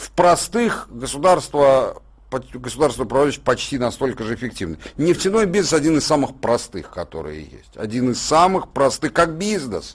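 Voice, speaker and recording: Lively intonation marks this speech. The pace is moderate. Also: man, fairly high pitch for a man. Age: 50s. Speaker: political and economic commentator. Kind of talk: radio studio discussion. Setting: radio studio. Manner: animated.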